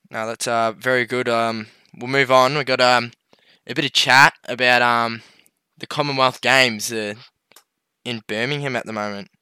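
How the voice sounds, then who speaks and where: The voice has a bright, sharp tone and an Australian accent, with monotone, flat intonation at a moderate pace. Long, frequent pauses break up the speech on a very clean recording with a silent background. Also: man, medium pitch for a man, dry, close sound with no echo. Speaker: podcast co-host. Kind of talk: casual chat.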